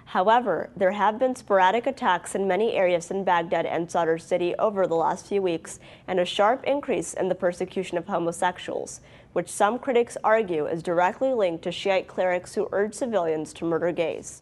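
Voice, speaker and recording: A woman with an American accent and a plain, everyday voice speaks at a fairly quick pace and a medium pitch, with ordinary pitch variation. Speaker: journalist. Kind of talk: TV news anchor read.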